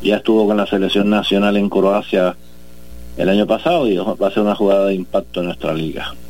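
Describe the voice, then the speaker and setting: Fairly quick delivery in an ordinary speaking voice, its pitch varying in an ordinary way. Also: man, fairly low pitch for a man. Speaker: sports federation president. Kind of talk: interview.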